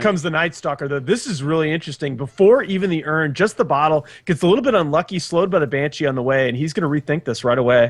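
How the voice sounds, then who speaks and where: A very fast man's voice, fairly high in pitch, with ordinary pitch variation and hardly any pauses. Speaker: esports commentator. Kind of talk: live esports color commentary. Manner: excitable.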